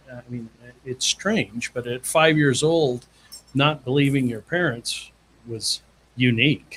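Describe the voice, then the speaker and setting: A somewhat breathy man with an American accent, fairly slow in pace, with ordinary pitch variation. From Southern California. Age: 60s. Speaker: firefighter and sports chaplain. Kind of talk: testimony.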